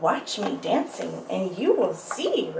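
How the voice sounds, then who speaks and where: A woman puts on a character voice at a fairly slow pace. Background noise is clearly audible. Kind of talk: bedtime story. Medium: read story.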